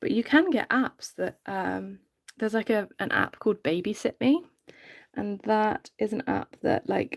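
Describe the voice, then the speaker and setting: In a British accent, a woman talks at a fairly slow pace with a relaxed tone. The recording is very clean, with a silent background and a dry, close sound with no echo. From UK. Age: 30s. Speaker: reborn doll artist, live streamer. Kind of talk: casual live stream chat while working. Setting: live stream. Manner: relaxed, many filler ums.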